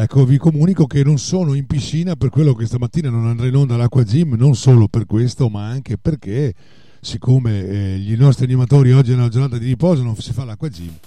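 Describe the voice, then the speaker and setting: At a very fast pace, a man speaks at a medium pitch with ordinary pitch variation. His dark, mellow tone is somewhat breathy. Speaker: radio DJ. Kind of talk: radio show hosting. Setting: radio studio. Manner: hesitant, filler-heavy.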